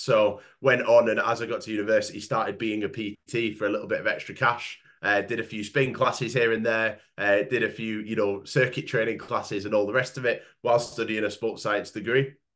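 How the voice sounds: A man talks at a fairly quick pace with a nasal, fairly bright tone. His pitch is fairly low and his intonation fairly even.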